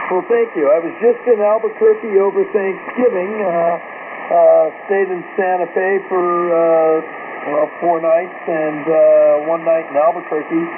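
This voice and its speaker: The speech moves at a fairly slow pace. Noticeable background noise sits behind it. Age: 60s. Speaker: physician, ham radio operator. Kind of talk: ham radio conversation. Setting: amateur radio transmission. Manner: halting, many fillers.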